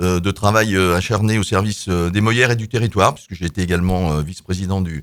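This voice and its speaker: Talking at a fairly quick pace, a man is captured in a very clean recording against a silent background. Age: 60s. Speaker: local politician, mayoral candidate. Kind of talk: radio debate self-introduction. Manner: halting, many hesitations.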